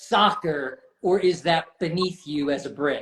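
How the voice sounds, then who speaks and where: A high-pitched man's voice with an American accent. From United States. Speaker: podcast host. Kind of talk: casual interview.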